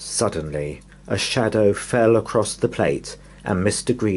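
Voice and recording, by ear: Natural voice, reading aloud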